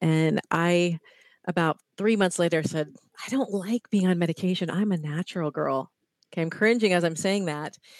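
A woman with an American accent speaks at a fairly low pitch and a moderate pace, with ordinary pitch variation. The recording is very clean, with a silent background and a dry, close sound without echo. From US Midwest (Ohio). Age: 50s. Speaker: fitness and wellness coach. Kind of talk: interview.

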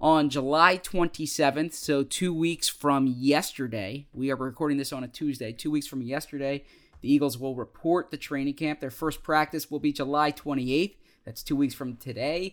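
Fairly high male voice at a moderate pace, with fairly even intonation, on a very clean recording with a silent background. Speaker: sports podcast co-host. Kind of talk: casual chat. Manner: halting; voice trails off.

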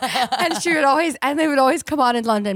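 Talking at a very fast pace, a woman with an American accent uses a high pitch and lively intonation. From California. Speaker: podcast host. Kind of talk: casual chat.

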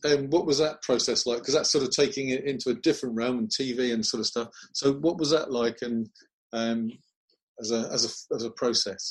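A man speaks fairly quickly with an ordinary speaking voice. His pitch sits in the medium range, with ordinary pitch variation. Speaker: martial arts TV interviewer. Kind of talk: interview.

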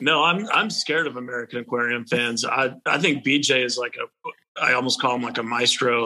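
Using a Texan accent, a man speaks at a fairly quick pace. His medium-pitched voice holds a fairly even intonation. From Texas. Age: 30s. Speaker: country musician. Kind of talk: casual interview chat.

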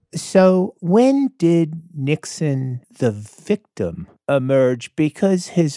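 Very clean recording with a silent background and a dry, close sound with no echo. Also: man. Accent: American. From South Florida. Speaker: radio host and historian. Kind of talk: casual chat and narration.

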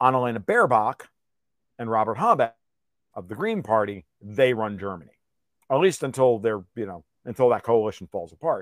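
The sound is dry and close with no echo as a man of medium pitch talks in an animated tone at a fairly quick pace, with ordinary pitch variation, big swings in loudness and long, frequent pauses. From US Northeast (New York). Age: 50s. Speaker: political and financial commentator. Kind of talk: interview.

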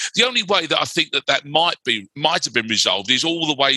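A man's bright, sharp voice in a London accent, with ordinary pitch variation and a dry, close sound with no echo. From West London. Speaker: writer and broadcaster. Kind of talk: casual chat.

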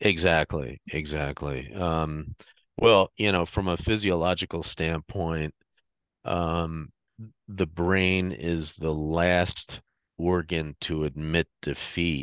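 A man speaks at a very slow pace with a very deep, low pitch. The sound is dry and close with no echo, over a quiet background. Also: fairly even intonation. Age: 50s. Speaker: horror author. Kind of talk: casual chat. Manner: halting.

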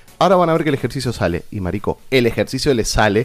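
A man's medium-pitched voice with very wide pitch swings and an Argentine accent. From Argentina. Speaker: theatre director and actor. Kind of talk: casual chat.

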